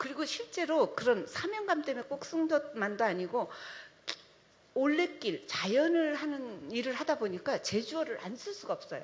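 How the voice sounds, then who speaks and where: Very wide pitch swings in a woman's high voice, delivered at a moderate pace. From Jeju Island, South Korea. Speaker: trail organization director, panelist. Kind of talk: panel discussion.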